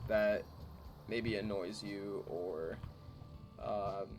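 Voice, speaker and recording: Music plays in the background. Over it, a man talks in a fairly low pitch. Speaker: gaming YouTuber. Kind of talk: casual gameplay commentary. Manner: halting, many fillers.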